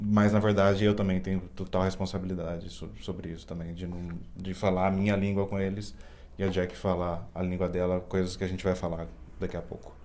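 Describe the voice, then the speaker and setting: A man with a São Paulo accent speaks in a very deep, low pitch with a dark, mellow tone and fairly even intonation. Audible room echo surrounds his voice. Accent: Campinas. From Brazil, Campinas. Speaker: co-host, husband. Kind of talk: casual chat to camera. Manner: halting.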